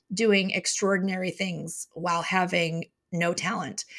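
A woman's bright, sharp voice at medium pitch, with an American accent. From Chicago. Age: 40s. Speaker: business consultant and author. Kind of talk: interview.

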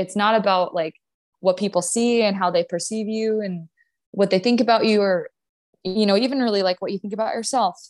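In an unremarkable speaking voice of medium pitch, a woman with an American accent talks at a fairly quick pace with fairly even intonation, in a dry, close sound with no echo. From US Upper Midwest, North Dakota. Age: 20s. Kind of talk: podcast interview, casual chat.

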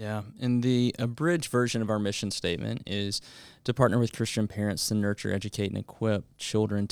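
At a fairly quick pace, a man talks in an unremarkable speaking voice with fairly low pitch and fairly even intonation, recorded very cleanly against a silent background. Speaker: school head and podcast host. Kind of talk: casual conversational interview about faith and parenting.

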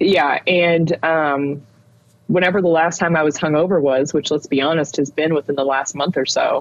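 A woman's very deep, low voice at a moderate pace, with fairly even intonation and very even loudness. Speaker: podcast co-host. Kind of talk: casual chat. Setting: at home, child sleeping downstairs. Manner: quiet, holding back volume.

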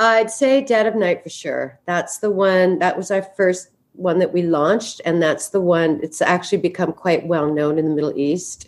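With a Canadian accent and an ordinary speaking voice, a woman talks at a moderate pace with hardly any pauses, her fairly low pitch showing ordinary variation. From western Canada, Vancouver. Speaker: perfume brand founder. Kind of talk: interview.

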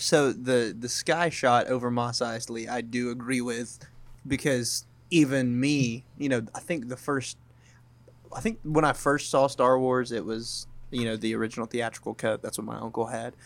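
A man speaks in an unremarkable speaking voice at medium pitch. His intonation is fairly even and his pace moderate. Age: 20s. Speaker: movie podcast co-host. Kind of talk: casual chat.

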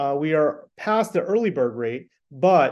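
A man speaks in an ordinary speaking voice. His pace is fairly slow and his intonation lively. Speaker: event co-chair. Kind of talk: casual interview chat.

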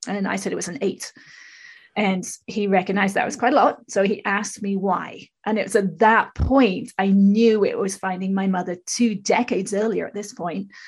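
Over a quiet background, a woman with a somewhat breathy, medium-pitched voice speaks at a fairly quick pace with fairly even intonation. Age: 50s. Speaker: spiritual teacher and public speaker. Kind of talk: casual interview. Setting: remote recording from her own studio.

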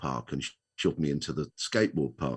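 With vocal fry, a man speaks at a moderate pace against a quiet background. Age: 60s. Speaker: retired children's author, wheelchair user. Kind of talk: casual interview.

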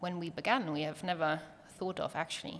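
A woman with a German accent speaks at a fairly low pitch with fairly even intonation. The recording is very clean, with a silent background. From Germany. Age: 20s. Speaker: pediatric nurse and startup co-founder. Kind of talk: interview.

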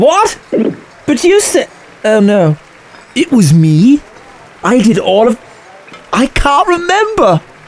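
A put-on character voice with a slightly mellow tone swings widely in pitch. It moves at a slow pace, broken by long, frequent pauses. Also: woman, fairly high pitch for a woman.

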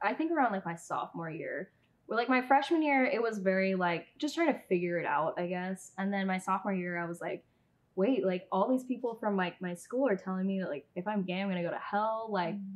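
Here a woman with a West Coast accent speaks at a fairly quick pace. Her medium pitch carries lively intonation. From Southern California. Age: 20s. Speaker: YouTuber and former pageant titleholder. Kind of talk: casual interview chat.

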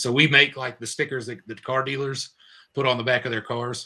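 Speaking at a fairly quick pace, a man with an American accent has a bright, sharp tone. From North Carolina, Raleigh area. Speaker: paintless dent repair business owner. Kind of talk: casual chat.

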